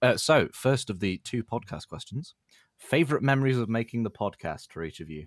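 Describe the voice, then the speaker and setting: A man's medium-pitched voice, fairly quick, with very wide pitch swings. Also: dry, close sound with no echo. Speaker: football fan community member. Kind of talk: casual chat.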